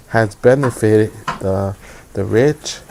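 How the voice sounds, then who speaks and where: Very slow speech from a man at a medium pitch, with noticeable background noise. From United States, child of immigrants. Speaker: political commentator. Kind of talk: live stream monologue. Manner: hesitant, many fillers.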